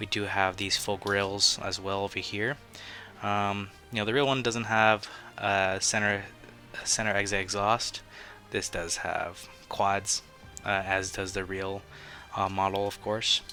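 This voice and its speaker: A fairly slow, monotone delivery with flat intonation, long, frequent pauses and music in the background. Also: man, fairly low pitch for a man. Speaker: toy reviewer. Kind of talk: casual talk to camera. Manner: hesitant, many fillers.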